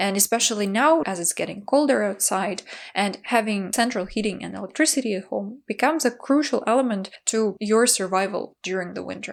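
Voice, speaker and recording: A woman with vocal fry speaks at a medium pitch with ordinary pitch variation. She goes at a fairly quick pace with hardly any pauses. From Ukraine. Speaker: video blogger. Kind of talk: explainer vlog.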